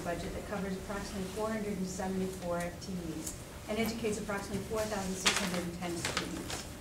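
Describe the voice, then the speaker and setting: A woman's voice comes through over loud background noise. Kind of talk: formal budget report. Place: meeting room.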